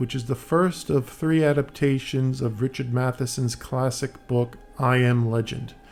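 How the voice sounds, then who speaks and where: Music plays in the background as a man talks at a medium pitch and a moderate pace, with fairly even intonation. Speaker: film commentator. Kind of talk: film audio commentary. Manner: hesitant, many fillers.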